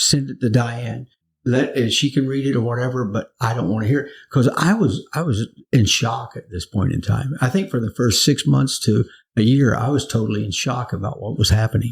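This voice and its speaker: Speaking at a fairly quick pace, a man has a medium pitch with vocal fry. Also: ordinary pitch variation. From US South, Florida (Naples). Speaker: pastor. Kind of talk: interview testimony. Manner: halting, repeats words.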